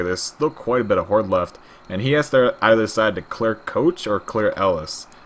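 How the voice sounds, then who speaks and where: A man talks at a fairly quick pace in a plain, everyday voice. His medium pitch carries lively intonation. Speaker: esports caster. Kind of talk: live commentary.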